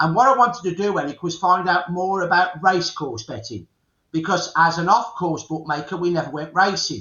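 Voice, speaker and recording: In a Birmingham accent, a man talks at a fairly quick pace with a high pitch. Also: ordinary pitch variation. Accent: Birmingham (Brummie) English. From England, Birmingham. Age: 60s. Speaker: historian. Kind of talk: interview.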